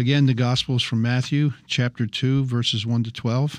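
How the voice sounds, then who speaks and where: In an unremarkable speaking voice, a man with a medium pitch and fairly even intonation talks at a moderate pace over a quiet background. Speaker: Bible study participant. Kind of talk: scripture reading and discussion.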